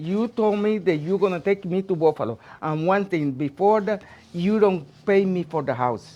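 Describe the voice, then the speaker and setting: Lively intonation marks a woman speaking at a fairly slow pace with a Puerto Rican accent. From Puerto Rico. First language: Spanish. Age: 80s+. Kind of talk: interview answer.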